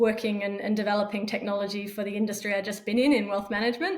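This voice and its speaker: A woman with an Australian accent, fairly high pitch, a very fast pace and fairly even intonation. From Australia, Perth. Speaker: fintech startup founder. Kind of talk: podcast interview.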